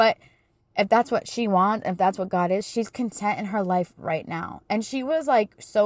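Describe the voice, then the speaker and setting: A woman with a plain, everyday voice speaks at a moderate pace and medium pitch, with ordinary pitch variation in a dry, close sound with no echo. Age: 30s. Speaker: podcast host and small business owner. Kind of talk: casual solo talk. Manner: conversational with many fillers.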